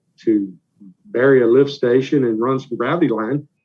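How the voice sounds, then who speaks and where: Speaking at a moderate pace with ordinary pitch variation, a man has a medium pitch and a plain, everyday voice. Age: younger than 61. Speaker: local government official, show co-host. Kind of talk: casual chat.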